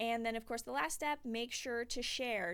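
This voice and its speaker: The recording is very clean, with a silent background. A woman with a fairly high pitch talks at a fairly quick pace. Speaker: science outreach educator. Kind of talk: tutorial. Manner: fast; casual.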